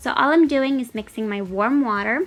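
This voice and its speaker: With music in the background, a woman talks at a moderate pace with ordinary variation in pitch. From Italy, Rome. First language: Italian. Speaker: cooking youtuber. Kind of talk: cooking tutorial. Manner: casual, chatty.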